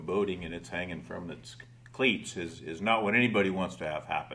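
Very deep, low male voice, fairly quick in pace, its pitch varying in an ordinary way. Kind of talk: interview answer. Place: studio.

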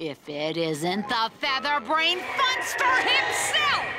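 A raised, shouting cartoonish character voice, bright and sharp, slow, with very wide pitch swings and faint music in the background

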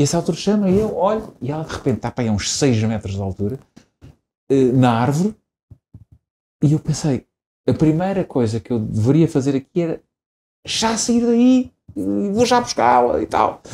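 Somewhat breathy and dark, mellow in tone, the voice moves at a moderate pace with very wide pitch swings and long, frequent pauses over light background noise. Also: man. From Portugal, Lisbon area (Estoril coast); Portugal. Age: 40s. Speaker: politician and lawyer, father of seven; politician, lawyer. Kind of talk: interview; interview answer. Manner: hesitant, many fillers and repetitions. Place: studio. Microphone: lapel.

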